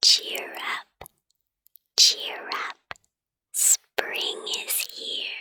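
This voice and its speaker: Whispering in a soothing tone, the voice moves at a very slow pace. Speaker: ASMR puppet storyteller. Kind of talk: bedtime story book reading. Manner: whispered, soothing.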